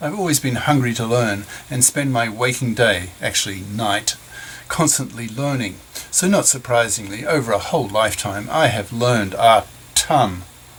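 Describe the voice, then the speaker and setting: Noticeable background noise runs under a man's voice. He talks at a moderate pace and medium pitch with ordinary pitch variation. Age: 70s. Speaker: retired professor reading his own essays. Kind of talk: reading aloud.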